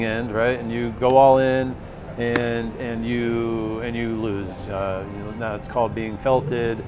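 Clear music plays in the background as a man talks with fairly even intonation. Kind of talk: tutorial. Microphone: lapel.

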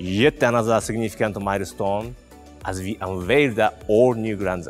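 Faint music plays in the background as a man speaks at a fairly low pitch. His pace is moderate and his pitch varies in an ordinary way. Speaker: presenter. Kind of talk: product launch presentation. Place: studio. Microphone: lapel.

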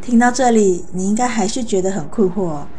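Over light background noise, a woman with an unremarkable speaking voice talks at a medium pitch with lively intonation. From Malaysia. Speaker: book reviewer. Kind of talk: book review monologue. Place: home room. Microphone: lapel.

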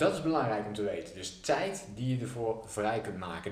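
Fairly quick speech from a man, with audible room echo. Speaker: business coach. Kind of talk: tutorial. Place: home room.

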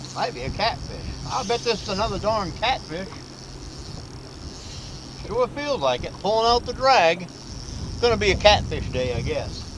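Noticeable background noise surrounds a man speaking at a moderate pace with long, frequent pauses, the sound dry with no echo. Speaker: show host. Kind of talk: casual commentary. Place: boat. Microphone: camera far.

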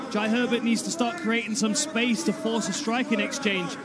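A man speaks at an extremely high pitch in an animated, enthusiastic tone. Noticeable background noise runs underneath. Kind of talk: live fight commentary. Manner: animated, enthusiastic, rapid play-by-play.

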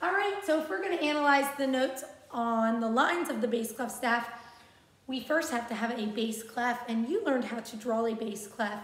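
A woman speaks with a high pitch and ordinary pitch variation. Audible room echo surrounds her voice. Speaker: music teacher. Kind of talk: tutorial. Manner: slow, patient and encouraging. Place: classroom. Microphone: phone near.

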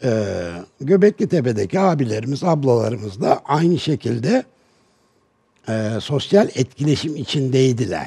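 Against a quiet background, a man speaks at medium pitch in a dark, mellow, somewhat breathy tone with very wide pitch swings. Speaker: advertising executive; talk show guest. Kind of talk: TV panel discussion. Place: studio. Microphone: headset.

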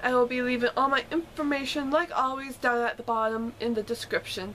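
Light background noise sits behind a woman with a high-pitched voice. She speaks at a moderate pace with ordinary pitch variation. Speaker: actor doing an audition-style monologue. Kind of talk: acted monologue with vlog intro and outro. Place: home room. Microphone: webcam.

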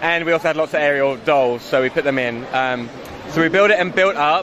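A man talks at a fairly quick pace in a fairly high pitch, with ordinary pitch variation and a fairly bright tone. Faint background noise can be heard.

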